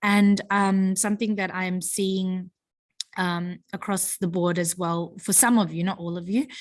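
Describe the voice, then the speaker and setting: In an Australian accent, a woman speaks at a medium pitch. Her intonation is monotone and flat, and the background is quiet. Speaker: high school teacher. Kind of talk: feedback talk to students. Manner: casual, hesitant with many fillers.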